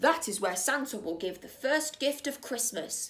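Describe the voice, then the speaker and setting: A woman performs a put-on character voice with a high pitch, moving at a moderate pace. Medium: read story. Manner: crisp, formal.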